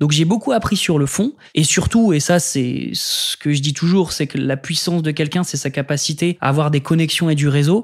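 A man speaks at a moderate pace with hardly any pauses, in an ordinary speaking voice. His pitch sits fairly high and varies in an ordinary way, on a very clean recording with a silent background. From northern France, Lille suburbs. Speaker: public affairs director and lecturer. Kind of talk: interview. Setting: studio.

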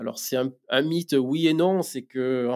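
A man at a moderate pace with fairly even intonation, in a dry, close sound with no echo. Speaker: company founder. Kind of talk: interview. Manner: halting, many fillers and repetitions.

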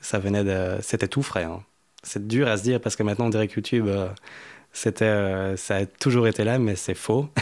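A man's fairly low voice at a moderate pace, with fairly even intonation, on a very clean recording with a silent background. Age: 20s. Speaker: musician and music producer. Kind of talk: interview. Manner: halting.

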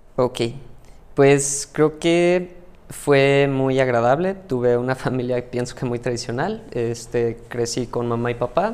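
Speaking very slowly, a man talks with a Mexican accent. His voice sits at a medium pitch with ordinary pitch variation. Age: 30s. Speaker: mathematician and AI tech specialist. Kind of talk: interview conversation.

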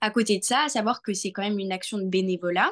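A woman's medium-pitched voice, an ordinary speaking voice, with fairly even intonation. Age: 20s. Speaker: young entrepreneur and association volunteer. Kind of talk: interview.

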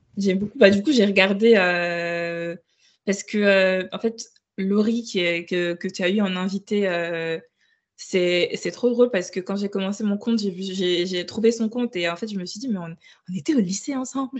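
A woman's normal speaking voice, medium in pitch with ordinary variation, at a fairly slow pace. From Burkina Faso, Ouagadougou. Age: 20s. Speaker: book influencer. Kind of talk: casual interview.

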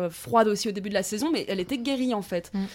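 A woman speaks at a very fast pace, her medium-pitched voice full of lively intonation. The recording is very clean, with a silent background. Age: 20s. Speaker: student. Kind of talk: casual chat. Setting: at the host's home.

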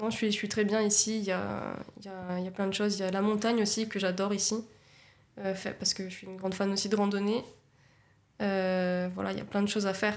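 A woman speaks at medium pitch and a very fast pace in a monotone, flat intonation with long, frequent pauses and audible room echo. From Nice, France. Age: 20s. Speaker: communications agency co-founder. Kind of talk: casual interview.

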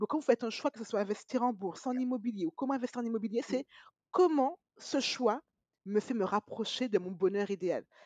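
With a fairly high pitch and ordinary pitch variation, a woman speaks at a fairly quick pace in a dry, close sound with no echo. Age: 30s. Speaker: podcast host. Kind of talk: interview. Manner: upbeat.

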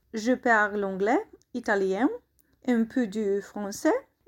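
The speech comes at a very slow pace in a Polish accent. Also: woman. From Poland. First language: Polish (speaking French). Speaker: English teacher, language course founder. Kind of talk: interview. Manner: halting, non-native.

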